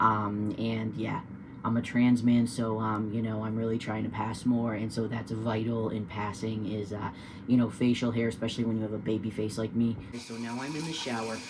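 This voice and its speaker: A man with an American accent speaks at a moderate pace and medium pitch, his intonation flat and monotone. Room echo is audible. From New Hampshire, US. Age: 30s. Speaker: vlogger, poultry farmer. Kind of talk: casual vlog tutorial. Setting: indoors at home, partly in shower. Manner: casual, hesitant with many fillers.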